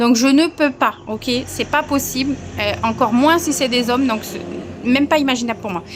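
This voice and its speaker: Over noticeable background noise, a woman with a high voice talks at a moderate pace with ordinary pitch variation. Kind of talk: personal testimony.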